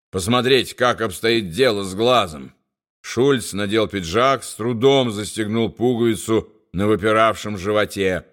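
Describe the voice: Quiet surroundings and plain reading aloud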